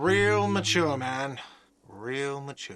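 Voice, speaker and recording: Shouting in a whiny put-on character voice at a medium pitch, a man is heard with audible echo. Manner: shouting, sarcastic.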